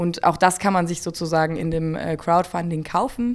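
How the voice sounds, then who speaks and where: A woman with an unremarkable speaking voice talks at a moderate pace with a fairly low pitch. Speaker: web series creator. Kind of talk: radio interview.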